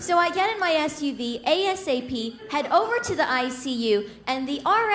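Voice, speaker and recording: Against noticeable background noise, a woman speaks at a fairly slow pace, her pitch swinging very widely. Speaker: stand-up comedian. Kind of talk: stand-up comedy set.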